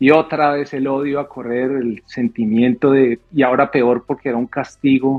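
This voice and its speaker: Fairly slow speech in a Bogotá accent, with monotone, flat intonation. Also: man. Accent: Bogotá Colombian. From Colombia, Bogotá. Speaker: airline pilot, former air force officer. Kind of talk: podcast interview. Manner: halting, repeats words.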